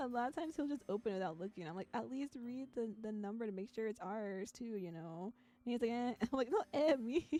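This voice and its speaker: A soft-spoken woman's fairly high voice with a dark, mellow tone, lively intonation and a fairly quick pace. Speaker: VTuber streamer playing visual novels. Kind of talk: casual live-stream chat with game text read aloud.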